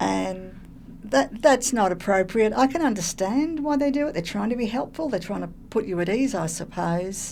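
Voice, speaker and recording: A woman with an Australian accent, medium pitch, very wide pitch swings and a moderate pace. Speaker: person who stutters. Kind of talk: testimony. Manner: halting.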